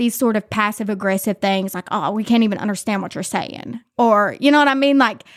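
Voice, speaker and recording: Talking at a fairly quick pace with lively intonation, a woman with a fairly high voice comes through dry and close with no echo in a very clean recording with a silent background. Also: hardly any pauses. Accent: Appalachian. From West Virginia, Mingo County (Williamson). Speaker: content creator and labor activist. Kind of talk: casual chat.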